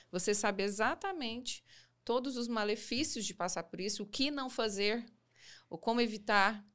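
At a moderate pace, a woman speaks in a fairly high pitch with ordinary pitch variation over a quiet background. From Goiás, Brazil (Goiânia); Goiás, Brazil. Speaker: relationship coach and mentor; podcast guest. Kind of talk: interview testimony. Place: studio. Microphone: studio mic.

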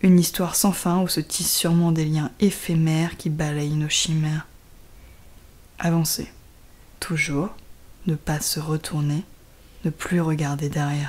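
At a fairly slow pace, a woman speaks in a very deep, low pitch, flat and monotone, with long, frequent pauses. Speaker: poet reading her own poem. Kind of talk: poetry reading.

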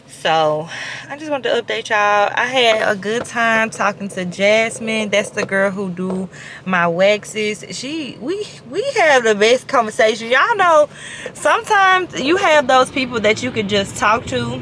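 A woman at a moderate pace, light background noise, dry sound with no echo. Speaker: vlogger. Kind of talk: casual vlog chat. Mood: relaxed, upbeat. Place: car. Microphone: phone near.

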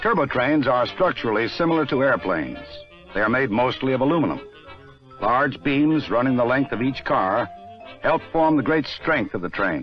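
The speech comes at a moderate pace in a dry sound with no echo. Faint music plays in the background. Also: man. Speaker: film narrator. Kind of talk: documentary narration. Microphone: old recording.

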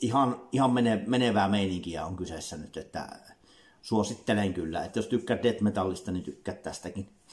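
Somewhat breathy, a man speaks at a fairly low pitch with ordinary pitch variation. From Finland. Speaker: music reviewer, YouTuber. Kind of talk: album review monologue. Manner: halting, many fillers and repetitions. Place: home room. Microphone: webcam.

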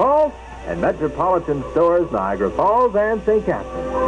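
Noticeable noise can be heard behind a man who talks at a moderate speed. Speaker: radio announcer. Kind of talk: radio commercial read.

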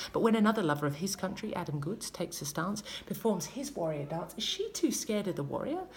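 In an Australian accent, a woman talks very fast with hardly any pauses, an animated tone and lively intonation over light background noise. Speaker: spoken word poet. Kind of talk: spoken word poetry performance. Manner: rhythmic, emphatic, politically charged delivery; animated, pointed, sarcastic in places. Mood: passionate, indignant. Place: home room. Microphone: phone near.

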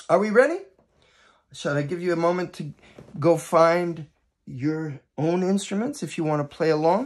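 With long, frequent pauses, a man talks at a moderate pace in a high voice with ordinary pitch variation. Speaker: educator and teaching artist. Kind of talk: children's storytelling with music. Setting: video for students, instruments at hand. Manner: warm, animated, gentle storyteller pacing. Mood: warm, friendly. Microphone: phone near.

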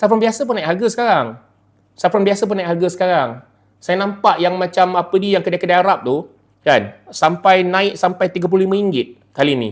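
Ordinary pitch variation runs through a man's high voice. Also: moderate pace. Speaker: YouTuber and online seller. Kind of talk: casual live stream talk and product pitch. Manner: casual, hesitant with many fillers.

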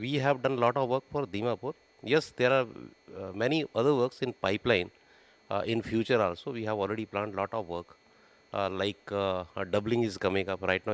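A man with an ordinary speaking voice talks at a fairly quick pace. His pitch is fairly low, with ordinary variation. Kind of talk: interview answer. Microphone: handheld.

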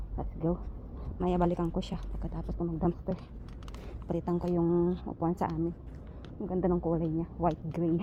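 A woman talks at a moderate pace, broken by long, frequent pauses. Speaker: vlogger. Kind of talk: casual vlog narration. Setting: outdoors. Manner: animated.

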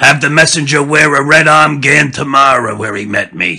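A raspy, put-on character voice from a man at a fairly slow pace. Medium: read story. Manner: gruff, bossy.

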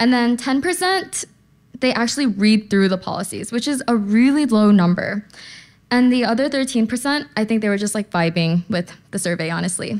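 At a moderate pace, a woman speaks in a fairly high voice. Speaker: conference speaker. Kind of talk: conference talk. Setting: stage with audience. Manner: casual, uses slang. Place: hall. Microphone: podium.

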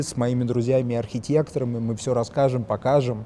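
A man's dark, mellow voice at a moderate pace, with fairly even intonation.

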